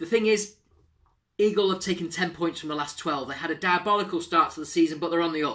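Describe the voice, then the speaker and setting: Against a quiet background, a man speaks with a bright, sharp tone. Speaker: presenter. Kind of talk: sports preview commentary. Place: home room. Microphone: webcam.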